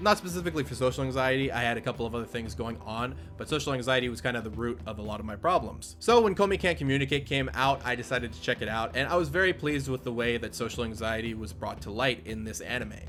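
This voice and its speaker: Loud and very fast, a man at a medium pitch speaks with very wide pitch swings and hardly any pauses while music plays in the background. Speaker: anime youtuber. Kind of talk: video commentary.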